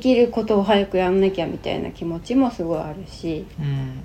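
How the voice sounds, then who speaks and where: Moderate pacing and normal pitch movement from a woman at a medium pitch, noticeable noise behind her. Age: 40s. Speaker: podcast co-host, host's wife. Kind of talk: casual chat.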